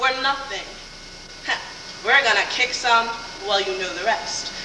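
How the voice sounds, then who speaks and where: A woman's raised, projected voice with an American accent over noticeable background noise. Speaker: pageant contestant giving an oratory. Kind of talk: original oratory speech. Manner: earnest, persuasive, declamatory.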